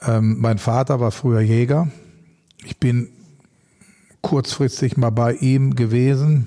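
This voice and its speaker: Very slowly, a man talks with long, frequent pauses. His tone is dark and mellow, at a medium pitch with fairly even intonation. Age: 50s. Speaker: animal welfare activist and former pro fighter. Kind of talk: casual interview.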